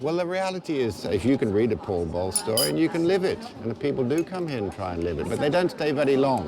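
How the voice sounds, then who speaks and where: Over noticeable background noise, a man at medium pitch talks at a very fast pace with hardly any pauses and very wide pitch swings. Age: 60s. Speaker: journalist. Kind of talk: casual chat.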